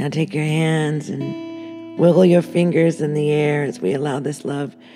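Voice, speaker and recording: The speaker talks in a calm, gentle tone at a fairly slow pace while music plays in the background. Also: woman. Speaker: meditation guide. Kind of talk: guided meditation.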